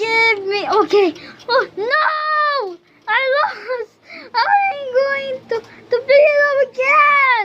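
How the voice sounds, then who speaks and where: The put-on character voice is extremely high in pitch and moves at a very slow pace. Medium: voice reel. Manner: whiny, complaining.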